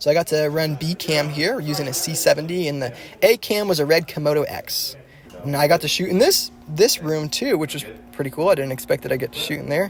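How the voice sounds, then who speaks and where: A man's fairly high-pitched voice in an enthusiastic tone, with ordinary pitch variation and noticeable background noise. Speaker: videographer / camera operator. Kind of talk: vlog-style behind-the-scenes narration.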